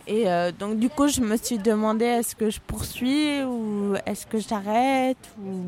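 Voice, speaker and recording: A woman speaks very slowly at a fairly high pitch with ordinary pitch variation. Noticeable background noise is present. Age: 20s. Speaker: lawyer. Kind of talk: interview. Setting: café. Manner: halting.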